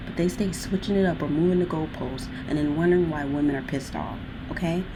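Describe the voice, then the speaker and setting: Through noticeable background noise and audible room echo, a woman speaks at a fairly low pitch. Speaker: video blogger. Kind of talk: casual chat. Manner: fast; animated.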